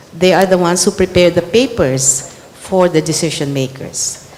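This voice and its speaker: At a medium pitch, a woman talks fairly slowly over noticeable background noise. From Philippines. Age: 60s. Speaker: government secretary, former community organizer. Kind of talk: panel dialogue answer.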